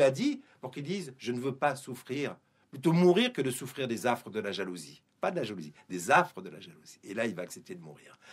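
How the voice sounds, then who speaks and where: A man is speaking. His pitch swings very widely. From Guadeloupe. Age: 50s. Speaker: publisher and Torah teacher. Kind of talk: radio interview. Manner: hesitant, with fillers and repetitions.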